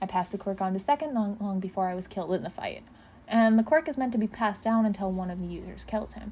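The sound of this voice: Pitch moves in an ordinary way. The reading voice sounds unforced.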